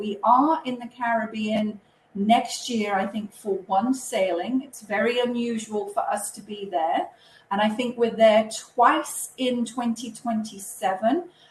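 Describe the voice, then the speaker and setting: Lively in intonation, a woman with a British accent talks at a fairly slow pace in a fairly high pitch. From UK. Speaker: cruise line representative. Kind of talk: webinar presentation. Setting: online webinar.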